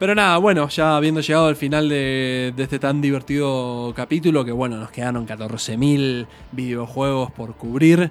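Music plays behind a man with a Rioplatense accent who talks at a moderate pace with hardly any pauses, his medium-pitched voice rising and falling in an ordinary way. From Argentina. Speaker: podcast host. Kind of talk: casual chat.

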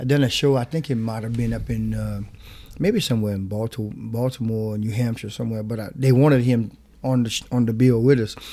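In a Louisiana accent, a man talks at a fairly quick pace with a medium pitch and a dark, mellow tone, on a very clean recording with a silent background. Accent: Louisiana Creole English. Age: 40s. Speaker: zydeco musician. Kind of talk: interview.

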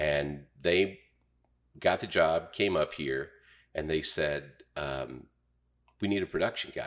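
With an Ozarks accent, a man speaks at a very deep, low pitch with vocal fry and ordinary pitch variation. His pace is very slow, with long, frequent pauses. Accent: Ozarks Southern American. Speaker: radio personality and county councilman. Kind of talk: casual interview.

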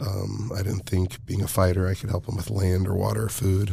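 Recorded very cleanly against a silent background, a man with an American accent speaks at a moderate pace in a somewhat breathy voice. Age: 30s. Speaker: professional MMA fighter and nonprofit founder. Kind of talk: casual interview.

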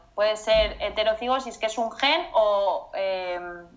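Speaking at a fairly slow pace, a woman uses an ordinary speaking voice with ordinary pitch variation. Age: 20s. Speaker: mother sharing pregnancy loss story. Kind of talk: testimony interview.

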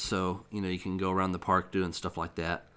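On a very clean recording with a silent background, a man with a fairly low pitch speaks at a fairly quick pace in a bright, sharp tone. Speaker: game reviewer and podcast host. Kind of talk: casual chat. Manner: halting, many fillers.

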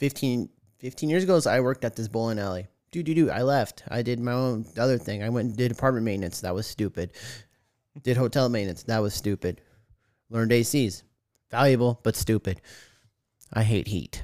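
In an American accent and an animated tone, the speaker goes at a fairly quick pace with ordinary pitch variation and long, frequent pauses on a very clean recording with a silent background. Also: man, medium pitch for a man. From Arizona, Tucson. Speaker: podcast co-host. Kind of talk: casual chat.

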